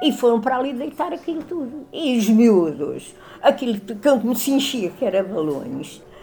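With noticeable background noise around her, a woman speaks at a moderate pace in a high pitch that swings very widely. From Lisbon, Portugal. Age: 80s. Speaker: elderly resident recalling the past. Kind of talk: interview testimony.

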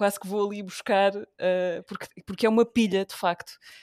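A woman speaks in an unremarkable speaking voice at medium pitch and a moderate pace. The sound is dry and close with no echo, and the recording is very clean, with a silent background. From Portugal, Beja (Alentejo). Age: 20s. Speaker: radio presenter. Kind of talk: casual interview conversation.

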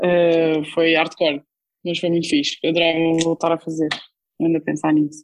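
Flat, monotone intonation carries speech delivered at a moderate pace. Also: woman, fairly low pitch for a woman. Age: 20s. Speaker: humanitarian worker. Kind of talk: casual interview. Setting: online call.

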